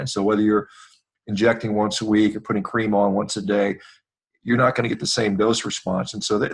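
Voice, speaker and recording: An ordinary speaking voice from a man, fairly low and fairly quick. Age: 50s. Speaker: surgeon and athlete. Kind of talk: interview.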